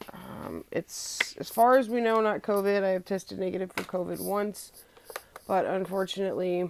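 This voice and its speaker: A woman with a medium pitch and fairly even intonation talks while noticeable background noise plays behind her. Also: moderate pace. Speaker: vlogger. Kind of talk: casual vlog talk.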